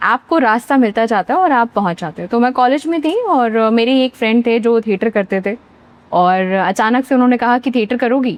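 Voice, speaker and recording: A woman with an unremarkable speaking voice talks at a moderate pace, her fairly high pitch moving with ordinary variation, in a dry, close recording with no echo and a quiet background. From central India, Bhopal, Madhya Pradesh. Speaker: actor. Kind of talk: interview.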